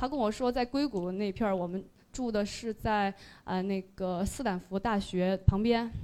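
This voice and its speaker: Recorded very cleanly against a silent background, a normal speaking voice moves at a moderate pace with ordinary pitch variation. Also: woman, medium pitch for a woman. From Sichuan. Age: 30s. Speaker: listener sharing at a fan meetup. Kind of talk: presentation to live audience. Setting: stage with audience.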